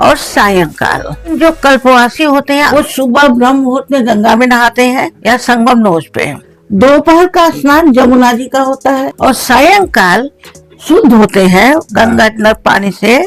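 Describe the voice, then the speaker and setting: A woman speaks with a high pitch and lively intonation. Her loudness stays very even, with music playing in the background. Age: 70s. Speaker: pilgrim who has done kalpvas for years. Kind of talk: interview answer.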